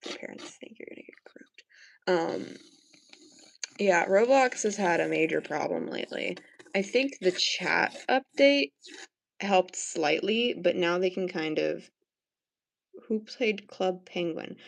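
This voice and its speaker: A woman's medium-pitched voice with vocal fry, a fairly slow pace, long, frequent pauses and big swings in loudness. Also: lively intonation. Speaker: art livestreamer. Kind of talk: casual chat while painting on livestream. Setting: livestream. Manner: mumbling to herself.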